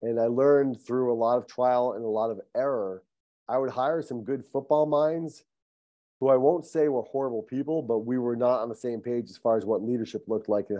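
Fairly quick delivery in a normal speaking voice, its pitch varying in an ordinary way. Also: man. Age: 50s. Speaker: high school football coach. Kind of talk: casual chat.

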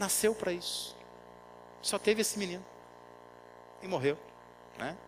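A man is speaking. His voice is high in pitch. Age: 40s. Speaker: pastor. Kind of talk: sermon.

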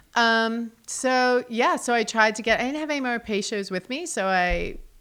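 A woman with an American accent talks at a moderate pace in a fairly high voice. Her tone is bright and sharp, and her pitch swings very widely. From New Jersey / New York City. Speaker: art museum curator. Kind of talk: casual chat. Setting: studio.

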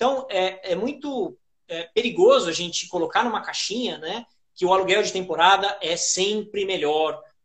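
Pitch swings very widely in this man's speech. He speaks high for a man. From Brazil, São Paulo. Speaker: short-term rental manager and educator. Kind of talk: interview on a live stream.

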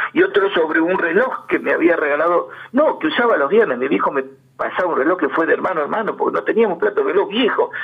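Over noticeable background noise, a man with a Rioplatense accent talks at a very fast pace. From Argentina, Berisso (Buenos Aires province). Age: 70s. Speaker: interviewee, amateur local history writer. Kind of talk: radio interview, reminiscing.

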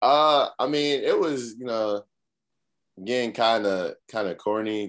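An unremarkable speaking voice from a man with an American accent, fairly slow, with ordinary pitch variation, against a quiet background. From Massachusetts, US (Cambridge). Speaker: college football player. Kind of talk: casual interview.

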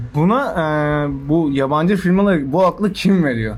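Lively intonation from a man at a moderate pace, with noticeable background noise and audible room echo. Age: 20s. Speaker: podcast guest. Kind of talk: casual chat. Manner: animated.

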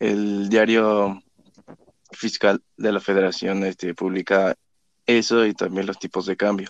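At a fairly slow pace and a fairly low pitch, a man talks in a monotone, flat way with long, frequent pauses, the sound dry and close with no echo. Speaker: student presenter. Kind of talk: educational explanation.

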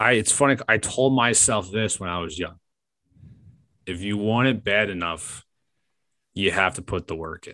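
Over a quiet background, a man with an American accent and a fairly low pitch speaks in a bright, sharp tone with ordinary pitch variation, big swings in loudness, and long, frequent pauses. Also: moderate pace. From New York. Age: 20s. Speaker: sports radio producer and podcast host. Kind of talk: interview.

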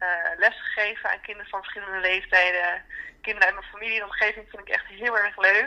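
The speech moves at a very fast pace. Its loudness swings widely. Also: woman. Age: 20s. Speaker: interviewee. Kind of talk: personal interview.

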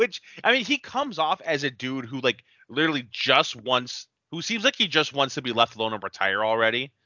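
Using an ordinary speaking voice, a man talks at medium pitch and a fairly quick pace. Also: ordinary pitch variation. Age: 20s. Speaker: podcast co-host. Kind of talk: casual chat.

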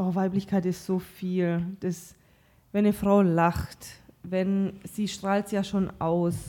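Speaking very slowly, a woman has a dark, mellow tone and a monotone, flat intonation. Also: medium pitch for a woman. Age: 30s. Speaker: podcast guest. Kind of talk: casual chat.

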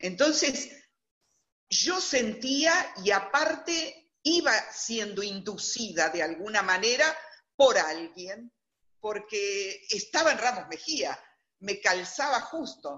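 Her pitch fairly high, a woman talks at a very slow pace with very wide pitch swings. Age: 60s. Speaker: interviewee telling her life story. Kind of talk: testimony. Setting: video call.

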